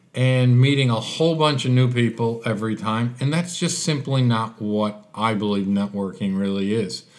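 In an American accent, a man speaks at a fairly slow pace and medium pitch. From Chicago, US. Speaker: business networker, guest. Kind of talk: casual interview.

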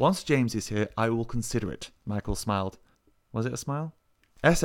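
Here the speaker reads with a natural voice.

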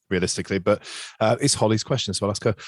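In an East Midlands accent, a man talks at a very fast pace with fairly low pitch, in a very clean recording with a silent background and a dry, close sound with no echo. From Nottingham, England. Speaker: podcast host. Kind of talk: casual chat.

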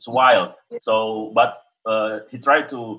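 A man speaks in an Indonesian accent. His medium-pitched voice has a bright, sharp tone. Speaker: experimental vocalist and musician. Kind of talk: interview, conversational. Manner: hesitant, with fillers.

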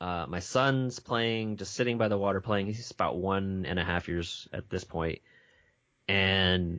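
A man speaking at a moderate pace. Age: 40s. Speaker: games journalist. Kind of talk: casual chat. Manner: halting.

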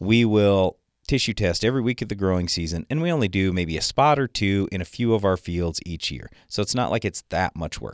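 Here is a man with a fairly low pitch, a normal speaking voice. He talks at a fairly quick pace with lively intonation, and the sound is dry and close with no echo. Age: 50s. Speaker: farm radio co-host and agronomist. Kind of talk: radio call-in show discussion. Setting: radio studio.

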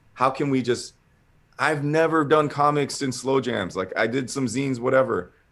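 A man speaks at medium pitch and a moderate pace. His pitch varies in an ordinary way. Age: 40s. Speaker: comic artist. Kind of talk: interview. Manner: animated.

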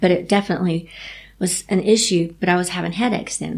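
A woman in a Southern US accent, medium in pitch with ordinary pitch variation, at a moderate pace over noticeable background noise. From Tennessee, Chattanooga. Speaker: endurance cyclist with MS. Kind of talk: interview.

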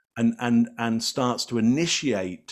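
A man speaks at a very slow pace with an English accent. His pitch sits in the middle range, and his intonation is lively. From England. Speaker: body language expert. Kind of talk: interview.

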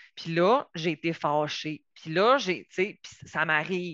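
With a slight Saguenay accent, a woman speaks at a fairly low pitch in a dry, close sound with no echo against a quiet background. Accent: mild Saguenay Quebec French. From Quebec, Saguenay–Lac-Saint-Jean. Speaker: psychotherapist and family mediator. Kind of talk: lecture. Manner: hesitant, many fillers.

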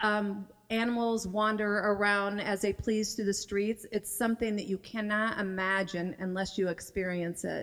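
A woman with an American accent and medium pitch speaks at a moderate pace in a monotone, flat intonation, her loudness very even. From Western Iowa. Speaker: mission trip volunteer. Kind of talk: church report talk.

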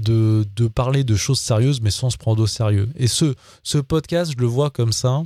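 A man speaks at a moderate pace in a dark, mellow, somewhat breathy tone with ordinary pitch variation and very even loudness. The sound is dry and close with no echo, on a very clean recording with a silent background. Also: medium pitch for a man. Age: 40s. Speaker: podcast host. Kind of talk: casual monologue. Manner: halting, many fillers and repetitions.

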